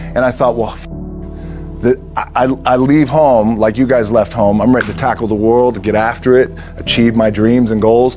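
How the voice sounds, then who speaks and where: A man's medium-pitched voice at a moderate pace, with very even loudness, fairly even intonation, and music in the background. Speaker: actor and former football player. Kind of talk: motivational speech to a sports team. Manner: casual, unscripted, from the heart.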